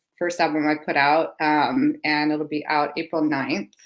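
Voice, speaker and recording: A woman's voice with ordinary pitch variation at a very slow pace, on a very clean recording with a silent background. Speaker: songwriter. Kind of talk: casual chat.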